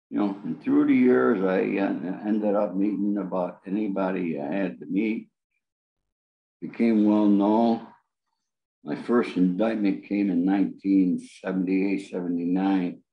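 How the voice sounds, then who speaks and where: With a New York accent, a man talks at a fairly slow pace. His voice is fairly low, with ordinary pitch variation. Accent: New York American. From upstate New York. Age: 70s. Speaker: author and former mobster. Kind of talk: interview.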